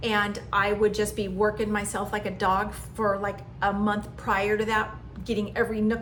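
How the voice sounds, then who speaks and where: A woman with a fairly high pitch talks at a moderate pace, with audible room echo and noticeable background noise. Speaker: lifestyle vlogger. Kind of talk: personal monologue.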